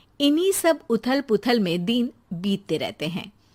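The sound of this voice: The intonation moves in a lively way. It sits in an unforced reading voice.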